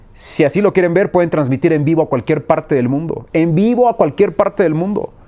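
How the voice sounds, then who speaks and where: Speaking at a fairly quick pace, a man uses a high pitch with ordinary variation. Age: 40s. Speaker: sports journalist. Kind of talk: interview.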